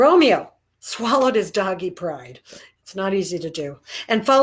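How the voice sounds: With lively intonation, a natural reading voice comes through against a quiet background.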